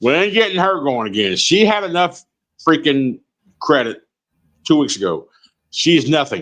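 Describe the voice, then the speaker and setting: Loud and animated, a man with a fairly high pitch and vocal fry swings his pitch very widely. He keeps a moderate pace, broken by long, frequent pauses. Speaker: truck driver and live streamer. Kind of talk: casual live-stream chat.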